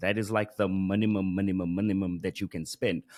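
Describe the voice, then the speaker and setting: A man speaks at a moderate pace in a South African accent, with a fairly low pitch and ordinary pitch variation. The background is quiet. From South Africa, Johannesburg. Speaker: Google Ads expert and course creator; podcast guest, marketing teacher. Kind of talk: interview. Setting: video call. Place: studio. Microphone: studio mic.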